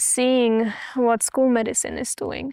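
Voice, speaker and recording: With an Austrian accent, a high-pitched woman speaks at a fairly slow pace with ordinary pitch variation, recorded with a dry, close sound and no echo. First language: German. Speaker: missionary. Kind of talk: interview testimony.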